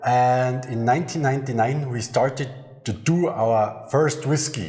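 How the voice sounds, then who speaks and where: A man with a German accent speaks at a fairly slow pace and a medium pitch, with ordinary pitch variation. Room echo is audible. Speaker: master distiller. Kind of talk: interview. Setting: on location at a distillery.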